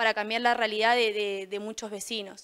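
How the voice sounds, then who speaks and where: Over a quiet background, a woman talks at a moderate pace. Her pitch is fairly high and her tone bright and sharp. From Mendoza, Argentina. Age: 20s. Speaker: political candidate; council candidate. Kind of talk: campaign statement. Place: studio.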